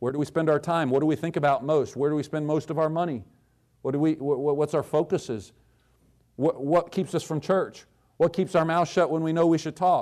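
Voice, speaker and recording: With a plain, everyday voice, a man speaks at a fairly high pitch with fairly even intonation against a quiet background. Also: fairly quick pace. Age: 40s. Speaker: guest preacher. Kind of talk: sermon. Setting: church.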